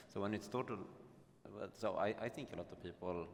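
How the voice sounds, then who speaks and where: Speaking fairly quickly in a Swedish accent, a man uses a fairly low pitch with ordinary pitch variation. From Sweden. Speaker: panelist, gambling operator executive. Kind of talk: panel discussion. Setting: conference stage with audience.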